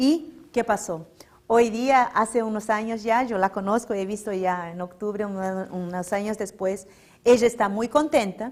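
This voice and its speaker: Speaking with a Portuguese accent, a woman uses a fairly high pitch, ordinary pitch variation and a fairly slow pace on a very clean recording with a silent background. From Brazil, São Paulo. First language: Portuguese (speaking Spanish). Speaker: religious lecturer. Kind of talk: public lecture.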